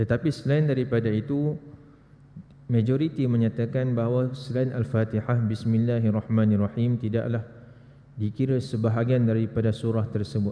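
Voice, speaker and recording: This man's voice has a dark, mellow tone and medium pitch, with ordinary pitch variation, very even loudness and a moderate pace. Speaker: religious teacher. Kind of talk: lecture. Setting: mosque prayer hall.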